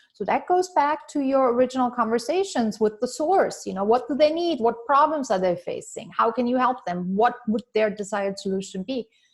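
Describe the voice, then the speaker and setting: A woman with a non-native accent talks in a high pitch at a fairly quick pace. Her intonation is lively, and she hardly pauses. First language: not English. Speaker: business coach. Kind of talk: webinar training.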